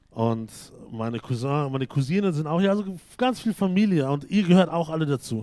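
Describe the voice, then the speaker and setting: Fairly high pitch for a man, with a dark, mellow tone, very wide pitch swings and a fairly quick pace. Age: 30s. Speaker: pastor. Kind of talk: sermon. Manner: halting.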